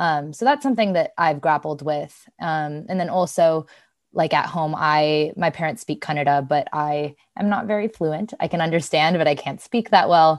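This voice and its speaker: Against a quiet background, a woman with an American accent talks at a moderate pace in a very deep, low pitch with ordinary pitch variation. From US West Coast, San Francisco Bay Area. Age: 20s. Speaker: podcast co-host. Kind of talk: casual chat. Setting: studio.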